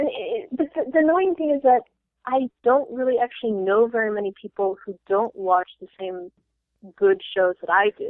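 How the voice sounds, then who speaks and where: Speaking with an American accent, a woman with a fairly high pitch and an ordinary speaking voice talks at a moderate pace with lively intonation. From Florida. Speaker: MBA student. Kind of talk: casual chat.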